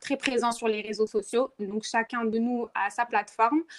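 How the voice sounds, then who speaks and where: Speaking fairly slowly, a woman uses a fairly high pitch and monotone, flat intonation. The recording is very clean with a silent background and a dry, close sound with no echo. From Morocco, Rabat. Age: 20s. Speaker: activist, movement co-founder. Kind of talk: podcast interview. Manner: hesitant, many fillers.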